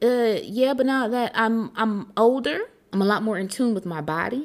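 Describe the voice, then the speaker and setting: A woman speaks in an animated, passionate tone. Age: 30s. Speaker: podcast host. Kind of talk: casual solo podcast monologue.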